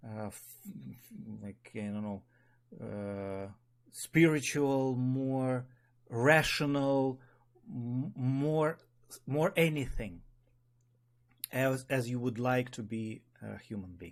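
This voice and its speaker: Speaking very slowly in a Russian accent, a man at medium pitch shows ordinary pitch variation and leaves long, frequent pauses. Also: big swings in loudness. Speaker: spiral dynamics teacher. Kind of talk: online meeting talk. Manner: halting.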